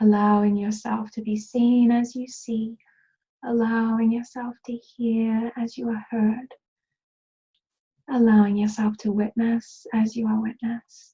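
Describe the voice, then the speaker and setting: A woman speaks at a fairly high pitch and a fairly slow pace, her somewhat breathy voice dark and mellow in tone and flat, monotone in intonation. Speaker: healer and meditation guide. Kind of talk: guided meditation. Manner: soft-spoken, slow.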